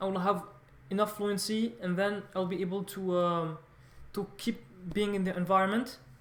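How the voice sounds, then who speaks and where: A woman speaks with a French accent at a moderate pace. Her pitch is medium and her intonation fairly even. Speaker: language learner vlogger. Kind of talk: casual vlog monologue. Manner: halting, many false starts.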